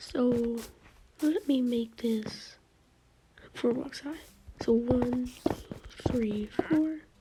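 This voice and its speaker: A quiet voice at a very slow pace over noticeable background noise. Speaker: gaming YouTuber. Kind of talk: gameplay commentary. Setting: home, others asleep. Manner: quiet, subdued.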